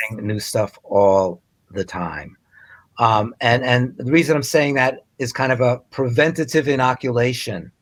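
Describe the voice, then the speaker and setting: An unremarkable speaking voice: a man at a moderate pace and medium pitch. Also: ordinary pitch variation. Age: 60s. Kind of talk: interview.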